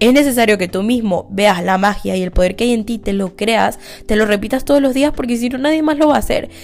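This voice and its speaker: A woman's fairly high voice at a fairly quick clip, with music playing underneath. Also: ordinary pitch variation. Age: 20s. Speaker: podcast host. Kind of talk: casual monologue.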